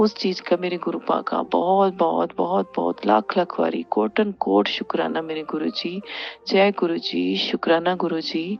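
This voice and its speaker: A very slow-paced woman against noticeable background noise. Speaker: devotee sharing testimony. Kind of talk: testimony. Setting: sitting before guru's picture. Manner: halting, with fillers.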